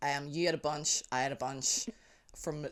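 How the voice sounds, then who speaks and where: With a Northern Irish accent, a man speaks at a fairly high pitch. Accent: Northern Irish (Belfast). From Northern Ireland, South Belfast. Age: 30s. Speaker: amateur basketball team co-founder. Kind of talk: casual chat.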